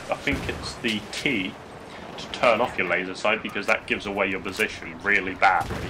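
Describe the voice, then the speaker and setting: A man's speech moves at a moderate pace while noticeable background noise carries on underneath. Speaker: gaming YouTuber. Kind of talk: gameplay tutorial commentary. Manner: hesitant, many fillers; mumbling.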